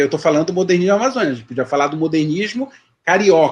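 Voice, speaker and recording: A man speaks at a fairly high pitch with very wide pitch swings. The background is quiet. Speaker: history professor. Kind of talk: lecture Q&A. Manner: hesitant, many repetitions.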